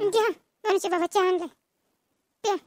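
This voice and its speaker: Doing a squeaky, cartoonish character voice, a woman speaks at an extremely high pitch with fairly even intonation, and the sound is dry and close with no echo. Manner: brisk, hurried.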